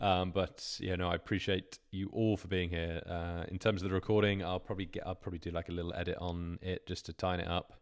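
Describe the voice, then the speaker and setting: On a very clean recording with a silent background, a man speaks fairly quickly in a very deep, low, monotone voice with flat intonation. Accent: British. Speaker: YouTube thumbnail coach. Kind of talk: live stream Q&A. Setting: live stream. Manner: casual, hesitant with fillers.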